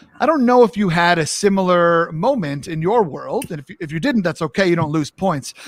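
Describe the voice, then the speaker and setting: In an American accent, a man with a high pitch talks at a fairly quick pace with hardly any pauses and big swings in loudness, the sound dry and close with no echo. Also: lively intonation. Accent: New York accent comes out more now. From New York. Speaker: talk show host. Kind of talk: live interview chat. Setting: live stream.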